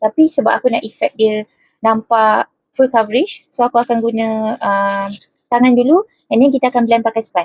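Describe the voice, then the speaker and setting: Whispering at a moderate pace, a woman is heard in a dry, close sound with no echo. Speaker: beauty vlogger. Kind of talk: makeup tutorial. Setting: bedroom at home.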